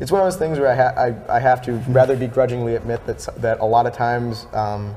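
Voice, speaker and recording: Noticeable background noise sits behind a man's voice. He speaks at a fairly quick pace with a medium pitch. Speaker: musician, songwriter. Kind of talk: interview answer. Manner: stuttering, hesitant.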